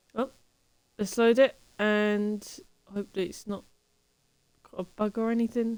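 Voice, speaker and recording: With monotone, flat intonation, a woman of fairly high pitch speaks at a fairly slow pace, leaving long, frequent pauses. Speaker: game streamer. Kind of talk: casual chat.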